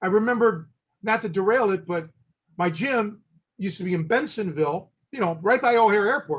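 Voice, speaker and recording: With an American accent, a man speaks at a moderate pace with ordinary pitch variation. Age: 50s. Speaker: catch wrestling coach and podcast host. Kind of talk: casual podcast interview.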